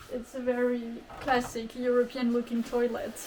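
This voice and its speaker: Noticeable background noise runs under this clip. A woman speaks in a high voice. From France. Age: 20s. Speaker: kimono photographer and house restorer. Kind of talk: interview answer.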